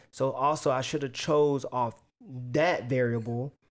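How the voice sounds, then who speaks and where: A man talks at a moderate pace, his fairly high pitch showing ordinary variation. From US South, Chattanooga, Tennessee. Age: 20s. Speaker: teacher and retail worker. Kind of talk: casual chat. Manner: animated.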